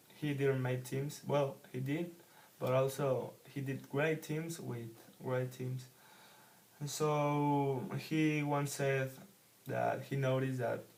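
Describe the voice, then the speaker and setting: With a Spanish accent, a man speaks very slowly in a medium pitch, monotone and flat, with long, frequent pauses, audible room echo, and noticeable background noise. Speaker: book reviewer, English learner. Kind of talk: casual book review monologue. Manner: halting, hesitant with many fillers.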